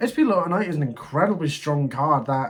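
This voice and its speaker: A man's fairly high, somewhat breathy voice at a fairly quick pace. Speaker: gaming content creator. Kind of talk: deck review commentary.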